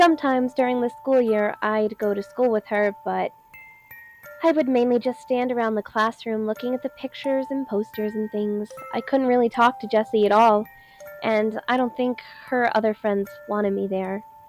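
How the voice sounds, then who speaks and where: With music behind her, a woman talks at a moderate pace, using a fairly high pitch and ordinary pitch variation. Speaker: amateur narrator. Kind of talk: horror story narration.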